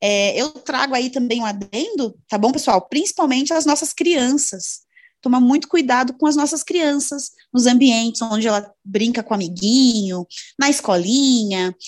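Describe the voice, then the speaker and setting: Her high voice has lively intonation as the woman talks at a moderate pace. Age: 20s. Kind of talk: podcast interview.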